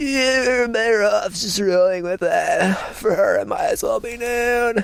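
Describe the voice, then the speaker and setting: The speaker uses a put-on character voice with lively intonation. The pace is fairly slow. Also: man, extremely high pitch for a man. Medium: read story. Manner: laid-back, mild.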